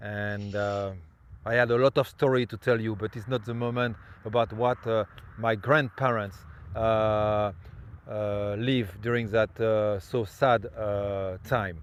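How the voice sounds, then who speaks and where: Here is a man speaking with a French accent at a fairly slow pace. His pitch is fairly low and his intonation fairly even. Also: quiet background. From France (Normandy and Brittany). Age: 50s. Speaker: tour guide. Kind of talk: guided tour presentation. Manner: halting, many fillers.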